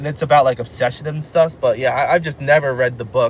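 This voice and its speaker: Somewhat breathy and fairly high-pitched, a man talks very fast with ordinary pitch variation. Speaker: live streamer. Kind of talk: casual live stream chat. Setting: in a car.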